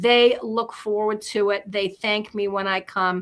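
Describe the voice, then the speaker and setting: An unremarkable speaking voice from a woman, medium in pitch, fairly slow and fairly even in intonation, in a very clean recording with a silent background. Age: 60s. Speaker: pet health advocate. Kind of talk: casual talk show segment.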